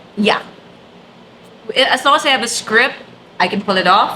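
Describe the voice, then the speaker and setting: A woman's animated, fairly high voice against noticeable background noise. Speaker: event host and trainer. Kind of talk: interview conversation. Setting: office studio.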